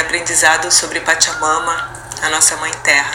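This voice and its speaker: As a woman talks, the room echoes audibly and background noise is noticeable. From Brazil, Minas Gerais. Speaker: artist and cultural producer. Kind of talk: podcast interview. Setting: at home.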